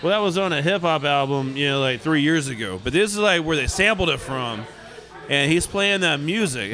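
Over noticeable background noise, a man with a fairly high pitch speaks in an animated tone at a moderate pace. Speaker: radio host. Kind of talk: radio DJ patter, jokey banter. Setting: studio. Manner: chatty, joking.

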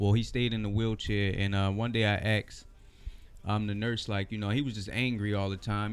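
Over music in the background, a man with an American accent speaks at a fairly quick pace with a fairly low pitch. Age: 30s. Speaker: rapper. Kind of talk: casual chat. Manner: laid-back.

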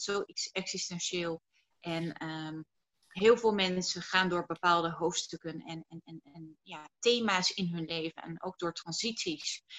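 Her pace is very slow. The woman speaks in a fairly low pitch with fairly even intonation. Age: 30s. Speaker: entrepreneur and speaker on personal growth. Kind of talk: interview.

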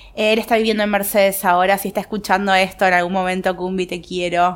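In a Rioplatense accent, a woman speaks at a moderate pace and medium pitch with fairly even intonation. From Argentina, Buenos Aires. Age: 20s. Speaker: screen-printing workshop owner and artist. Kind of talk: casual interview.

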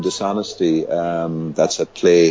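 A man with an Irish accent, talking very slowly over noticeable background noise. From Ireland, Limerick. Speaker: community development faculty member. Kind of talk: interview. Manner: hesitant, many fillers and repetitions.

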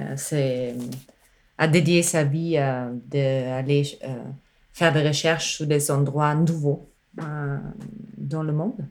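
A woman speaks at a very deep, low pitch with fairly even intonation. Audible room echo is present. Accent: non-native. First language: not French (speaking French). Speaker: musician and sound artist. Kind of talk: casual chat. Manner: halting.

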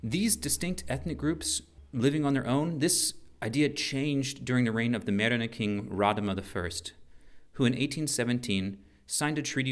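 A normal speaking voice from a man, medium in pitch, with lively intonation. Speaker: Peace Corps health volunteer and podcast host. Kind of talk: podcast episode mixing scripted narration and interviews. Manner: playful, joking.

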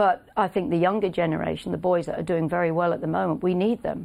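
A woman at a fairly low pitch with vocal fry and a fairly quick pace, over a quiet background. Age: 50s. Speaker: racehorse trainer. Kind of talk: casual interview. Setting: studio.

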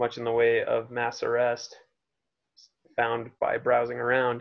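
A quiet man's voice at a medium pitch. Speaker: punk musician and roadie. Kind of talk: casual chat. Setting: video call.

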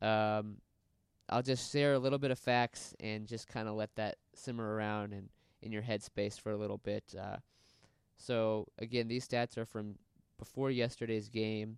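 A man speaks in a monotone with flat intonation and a fairly low pitch. His pace is moderate, and the sound is dry and close with no echo. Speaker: solo sports podcast host. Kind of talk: casual solo commentary. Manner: hesitant, many fillers.

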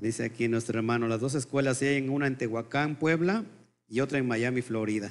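A man with a normal speaking voice and medium pitch talks at a fairly quick pace, with fairly even intonation and very even loudness. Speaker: Messianic Torah teacher. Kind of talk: sermon. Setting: live stream.

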